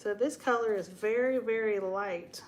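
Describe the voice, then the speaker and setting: A woman with an American accent keeps her intonation fairly even. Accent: Southern US (others say she has one). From Texas. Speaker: DIY paint channel host. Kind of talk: live stream casual chat and painting demo. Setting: home live stream on camera. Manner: chatty, informal.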